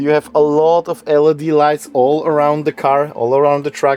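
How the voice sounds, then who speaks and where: Over noticeable background noise, a man with a fairly high pitch talks at a moderate pace in a dry, close sound with no echo. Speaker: camper van builder. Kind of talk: vehicle tour.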